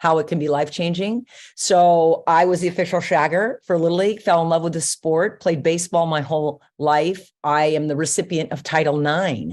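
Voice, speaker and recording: Speaking with an American accent in an unremarkable speaking voice, a woman talks at a fairly low pitch and a fairly quick pace with fairly even intonation over a quiet background. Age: 60s. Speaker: retired softball coach. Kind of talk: interview podcast.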